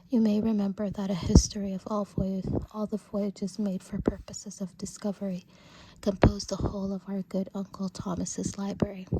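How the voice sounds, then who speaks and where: The words are whispered at a fairly quick pace. Background noise is noticeable throughout. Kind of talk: audiobook-style classic literature reading, ASMR.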